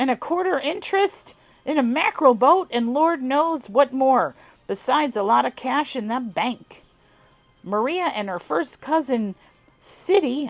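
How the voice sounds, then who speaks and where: A woman puts on a character voice in a Southern US accent, drawling at a moderate pace. Her pitch is high, with very wide swings. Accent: southern twang. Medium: read story. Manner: drawling, folksy dialect.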